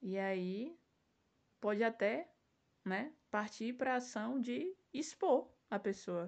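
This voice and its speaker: At a very slow pace with long, frequent pauses, a woman speaks at a fairly high pitch with lively intonation. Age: 20s. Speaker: self-defense instructor and podcast host. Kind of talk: solo podcast monologue.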